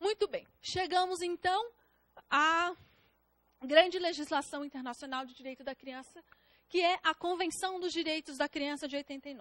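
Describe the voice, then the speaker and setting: A woman's extremely high-pitched voice, big swings in loudness, long and frequent pauses, and a dry, close sound with no echo. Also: ordinary pitch variation, moderate pace. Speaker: public defender and exam-prep lecturer. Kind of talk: lecture. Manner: halting, self-correcting.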